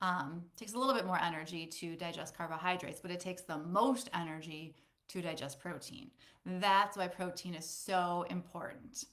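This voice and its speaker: A woman in an ordinary speaking voice talks at a moderate pace, her fairly low pitch varying in an ordinary way. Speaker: personal trainer. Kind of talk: webinar presentation. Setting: Facebook live webinar.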